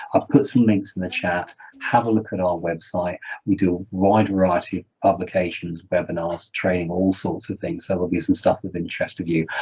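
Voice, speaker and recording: Somewhat breathy and fairly low-pitched, a man speaks at a fairly quick pace with a British accent and fairly even intonation. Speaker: research integrity charity representative. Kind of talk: panel presentation. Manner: fast.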